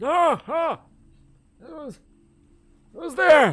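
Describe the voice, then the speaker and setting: A man's put-on character voice, extremely high in pitch. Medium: actual play. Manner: weary, resigned.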